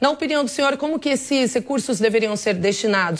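Lively in intonation, a woman speaks in an ordinary speaking voice at a moderate pace, in a very clean recording with a silent background. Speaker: news anchor. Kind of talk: news broadcast.

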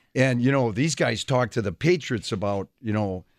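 A man with a Wisconsin accent speaks at a moderate pace with lively intonation. The recording is very clean, with a silent background and a dry, close sound with no echo. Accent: Wisconsin Midwestern. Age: 60s. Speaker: veteran high school coach. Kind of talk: radio interview chat. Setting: radio studio.

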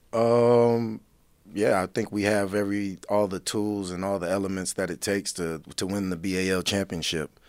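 An American accent over music playing in the background. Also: man, fairly low pitch for a man, fairly even intonation, moderate pace. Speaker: basketball coach. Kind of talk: radio interview. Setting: studio.

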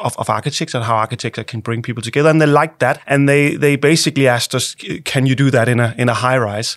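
A man with a Danish accent speaks at a medium pitch. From Denmark. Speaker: architect. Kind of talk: interview. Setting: studio. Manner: halting, many repeated words.

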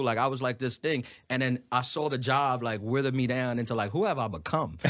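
In a New York accent, a man with a medium pitch talks at a very fast pace and very even loudness on a very clean recording with a silent background. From New York City (Brooklyn and Queens). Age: 30s. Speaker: stand-up comedian. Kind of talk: casual interview chat.

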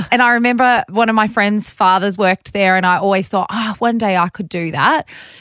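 An Australian-accented woman at a fairly quick pace, ordinary pitch variation, on a very clean recording with a silent background. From Bathurst, Australia. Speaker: radio breakfast host. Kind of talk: casual interview chat.

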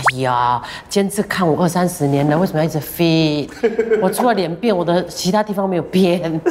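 Over noticeable background noise, a woman talks at a fairly quick pace in a fairly low pitch with ordinary pitch variation. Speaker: radio host. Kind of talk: casual interview.

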